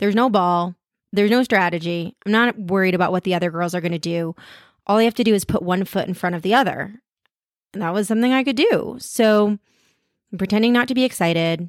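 In a very clean recording with a silent background and a dry, close sound free of echo, a woman speaks at medium pitch with ordinary pitch variation and long, frequent pauses. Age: 40s. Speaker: podcast host and intuitive eating coach. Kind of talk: personal monologue.

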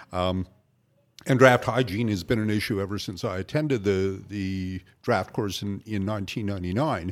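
The speech holds to a moderate pace. An ordinary speaking voice, its pitch varies in an ordinary way. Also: man, fairly low pitch for a man. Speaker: brewing school instructor. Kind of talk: casual chat.

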